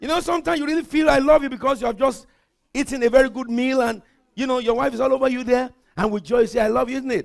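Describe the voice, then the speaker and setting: A man speaks very fast at an extremely high pitch in an animated tone. The background is quiet. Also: ordinary pitch variation. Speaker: pastor. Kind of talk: sermon. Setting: church. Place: church. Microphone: headset.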